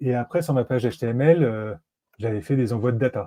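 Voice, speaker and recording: A man's somewhat breathy voice, dark and mellow in tone, with ordinary pitch variation and a quiet background. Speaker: no-code automation consultant; guest. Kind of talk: live-streamed software tutorial. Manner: fast; hesitant, many fillers. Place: home room. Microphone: earbuds.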